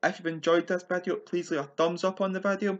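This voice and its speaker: Over a quiet background, a man speaks loudly at a fairly quick pace and a high pitch. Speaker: football prediction youtuber. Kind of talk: solo video preview of match predictions. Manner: trying to speak louder and more clearly.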